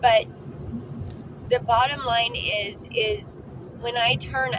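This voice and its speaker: A woman talks loudly. Her pitch is high. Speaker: lifestyle vlogger. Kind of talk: casual vlog talk. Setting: in a car. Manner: repetitive stammering.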